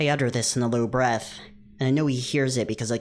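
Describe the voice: Fairly even intonation carries the words. It is plain reading aloud.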